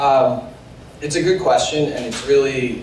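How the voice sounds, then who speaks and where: A man with a Philadelphia accent at a moderate pace, ordinary pitch variation, audible room echo and noticeable background noise. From Philadelphia, US. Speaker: sales professional. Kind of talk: panel discussion.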